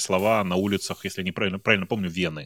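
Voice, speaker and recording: A man speaks at a very fast pace and fairly low pitch in a dry, close sound with no echo. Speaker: tech podcaster. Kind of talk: casual chat.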